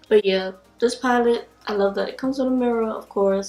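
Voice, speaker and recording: With music in the background, a woman speaks at a moderate pace and fairly high pitch, her intonation fairly even. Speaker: beauty vlogger. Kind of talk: product review vlog. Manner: casual, chatty.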